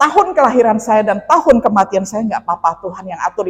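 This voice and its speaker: With lively intonation, a woman at a medium pitch has an ordinary speaking voice. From Indonesia, West Kalimantan. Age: 50s. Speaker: pastor. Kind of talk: sermon with personal testimony. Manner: conversational, with fillers.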